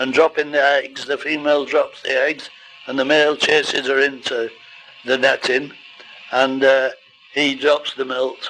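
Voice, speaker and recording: With music in the background, a man speaks at a fairly slow pace, in a fairly high pitch and a monotone, flat intonation. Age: 80s+. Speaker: goldfish breeder. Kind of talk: informal talk to camera.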